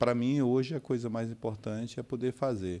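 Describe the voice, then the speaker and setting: A man's dark, mellow tone comes through on a very clean recording against a silent background. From Manaus, Brazil. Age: 60s. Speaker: city councillor. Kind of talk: interview. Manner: halting, with frequent fillers.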